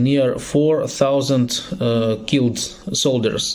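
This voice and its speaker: Amid noticeable background noise and audible room echo, a man with a non-native accent speaks at a very slow pace in a medium pitch with ordinary pitch variation. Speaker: political activist. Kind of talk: recorded video statement. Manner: halting, many filler sounds.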